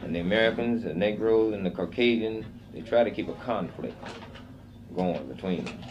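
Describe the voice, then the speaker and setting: A man's fairly low voice at a moderate pace, with ordinary pitch variation and long, frequent pauses. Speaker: Korean War veteran, former POW. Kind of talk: interview answer.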